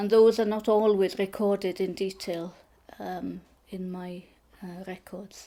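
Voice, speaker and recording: Speaking at a fairly slow pace with a Welsh accent, a woman uses a medium pitch, monotone, flat intonation and a dark, mellow tone, with big swings in loudness. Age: 60s. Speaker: photographer. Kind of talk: interview. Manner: hesitant, many fillers.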